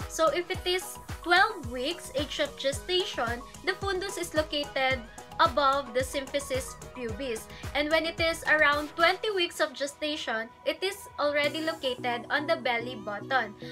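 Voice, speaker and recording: A woman projects a raised voice at a moderate pace. Clear music plays in the background. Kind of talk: lecture. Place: home room. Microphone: phone near.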